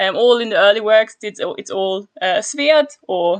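Against a quiet background, a woman talks at a very slow pace. Her pitch is fairly high, with ordinary pitch variation. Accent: German. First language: German. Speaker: historical linguistics researcher. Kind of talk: casual chat.

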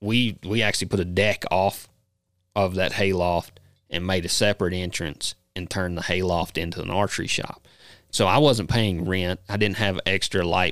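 The man's very deep, low voice stays fairly even in intonation as he talks fairly quickly. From Kentucky. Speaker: bowhunter and former bull rider. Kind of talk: casual chat.

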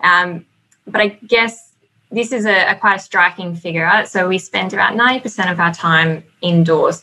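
A woman's voice with ordinary pitch variation, a fairly slow pace and a slight Australian accent. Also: medium pitch for a woman. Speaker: building consultant. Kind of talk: webinar presentation with slides. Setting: online webinar.

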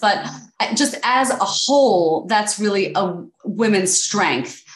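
A woman with an American accent speaks with ordinary pitch variation amid noticeable background noise and audible room echo. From US Northeast, New York City. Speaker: podcast host, attorney and real estate investor. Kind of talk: podcast interview.

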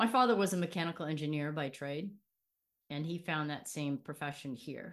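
A woman speaks with a Californian accent at a fairly quick pace. Her pitch is very deep and low with ordinary variation, on a very clean recording with a silent background. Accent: Californian American. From Los Angeles, Southern California. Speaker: former prosecutor and athlete. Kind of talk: interview.

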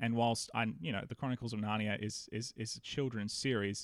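A man with an Australian accent at a medium pitch, on a very clean recording with a silent background. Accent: Australian, sometimes mistaken for American. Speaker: pastor and podcaster. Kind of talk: casual interview chat.

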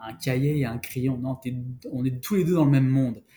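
Speaking at a fairly quick pace, a man with a medium-pitched, somewhat breathy voice keeps his intonation fairly even. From France, Paris region (Val d'Oise). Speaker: outdoor gear marketing specialist. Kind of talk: interview. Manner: halting, many repetitions.

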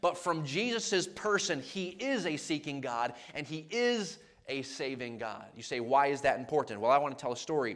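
A man talks at a moderate pace, his fairly high voice making very wide pitch swings. Audible room echo surrounds him. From Maine, New England. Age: 30s. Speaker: traveling evangelist. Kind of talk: sermon.

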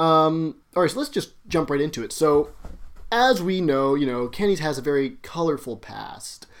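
A man with a plain, everyday voice, fairly high in pitch, with lively intonation at a moderate pace, in a very clean recording with a silent background. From Alberta, Canada. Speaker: podcast co-host. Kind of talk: casual comedic chat.

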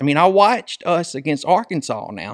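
A man speaks with a Southern US accent. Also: dry, close sound with no echo. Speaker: podcast host. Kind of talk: casual sports chat. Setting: studio.

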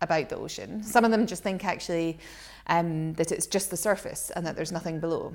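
On a very clean recording with a silent background, a woman with a Scottish accent talks at a very fast pace with vocal fry and fairly even intonation. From Scotland. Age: 40s. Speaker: shark education centre director. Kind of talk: casual interview chat. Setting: rented holiday home.

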